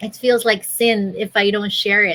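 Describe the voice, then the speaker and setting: The intonation is monotone and flat. The woman's tone is bright and sharp. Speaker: digital business owner. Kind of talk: interview answer. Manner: soft-spoken.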